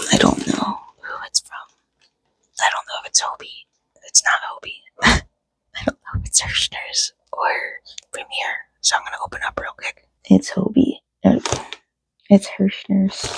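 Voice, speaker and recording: A woman whispers with long, frequent pauses. The sound is dry and close, with no echo. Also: moderate pace. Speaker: crochet pattern designer vlogger. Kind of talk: casual vlog. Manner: whispering.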